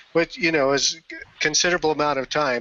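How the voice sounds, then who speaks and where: A man talks with a fairly high pitch. There is noticeable background noise. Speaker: community leader. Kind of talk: casual chat.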